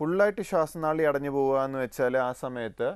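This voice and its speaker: A man uses a normal speaking voice with a fairly high pitch. His pitch varies in an ordinary way, and the recording is very clean with a silent background. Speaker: pulmonologist. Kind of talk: TV health interview.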